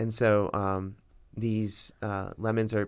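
Recorded very cleanly against a silent background, a man with an American accent speaks fairly slowly in a flat, monotone way. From US South, Miami, Florida. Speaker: medical student, future radiologist. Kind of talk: casual chat.

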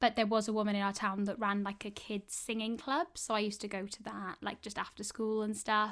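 A woman with a Welsh accent talks at a fairly quick pace with hardly any pauses, her fairly high pitch held in a monotone, flat intonation on a very clean recording with a silent background. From Wales. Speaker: actor. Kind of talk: interview.

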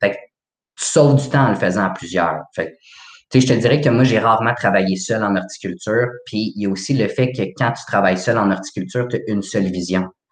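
Here is a man with a plain, everyday voice. He talks at a fairly quick pace with a fairly low pitch and ordinary pitch variation. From Quebec, Laval. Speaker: horticulture graduate. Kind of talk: casual interview.

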